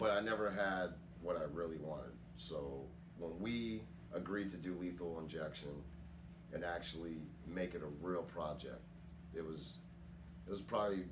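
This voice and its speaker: The speaker talks at a moderate pace with ordinary pitch variation and long, frequent pauses. Audible room echo and noticeable background noise fill the recording. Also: man, very deep, low pitch for a man. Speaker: rap metal vocalist. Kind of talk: interview testimony. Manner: casual.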